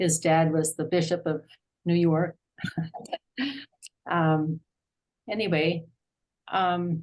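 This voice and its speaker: A woman's very deep, low voice with an American accent, very slow and monotone, with flat intonation. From US, Arlington, Virginia. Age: 70s. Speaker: class participant. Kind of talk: personal introduction in online class. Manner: halting, many fillers.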